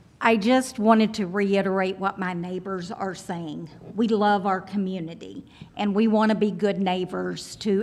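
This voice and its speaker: A woman with fairly even intonation speaks at a moderate pace, noticeable background noise running beneath her. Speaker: resident speaking at public hearing. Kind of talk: public comment. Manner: loud.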